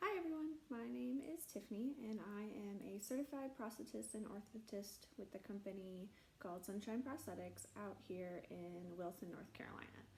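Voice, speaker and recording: Someone with an American accent speaks at a moderate pace with very wide pitch swings over noticeable background noise. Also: woman, medium pitch for a woman. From US Midwest, South Central Nebraska. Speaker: prosthetist and orthotist. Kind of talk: personal story monologue. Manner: casual with frequent fillers.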